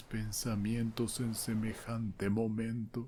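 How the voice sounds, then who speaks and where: Soft-spoken and somewhat breathy, a man with a medium pitch and a dark, mellow tone speaks at a very slow pace. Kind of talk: story reading. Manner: soft-spoken, slow.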